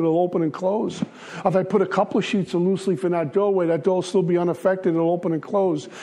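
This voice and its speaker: Over noticeable background noise, a man with a high voice and an American accent talks very fast with fairly even intonation. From Brooklyn, New York. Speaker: AA speaker sharing recovery story. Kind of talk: recovery talk to a meeting.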